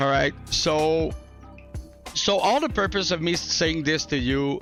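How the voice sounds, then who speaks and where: Music plays behind a man who speaks at a very slow pace with ordinary pitch variation. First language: not English. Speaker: gaming YouTuber. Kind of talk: casual talk to camera. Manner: casual, chill.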